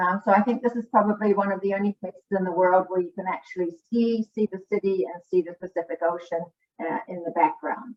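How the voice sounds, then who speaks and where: A woman of medium pitch speaks with ordinary pitch variation and big swings in loudness. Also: fairly quick pace. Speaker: school district international program coordinator. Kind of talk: online presentation. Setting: online video presentation. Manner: fast; hesitant, many fillers.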